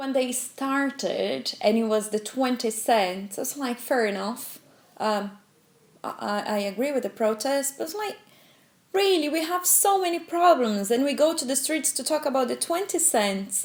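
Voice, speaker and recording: Noticeable background noise sits behind a woman with a high voice and a Brazilian accent. She talks at a moderate pace, her pitch swinging very widely. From Brazil, São Paulo. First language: Portuguese. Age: 20s. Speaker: protester, economic consultant. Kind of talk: documentary interview testimony.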